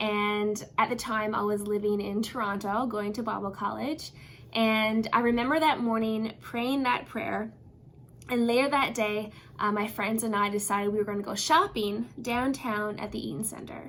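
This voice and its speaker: A woman with a Newfoundland accent, a fairly high pitch, ordinary pitch variation and a moderate pace. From Newfoundland, Canada. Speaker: pastor. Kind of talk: devotional talk.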